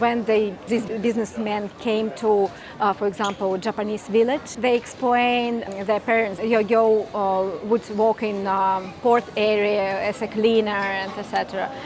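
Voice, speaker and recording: A woman with a fairly high pitch speaks at a fairly slow pace in a monotone, flat intonation. There is noticeable background noise. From Russia. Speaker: tour guide. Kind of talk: interview answer.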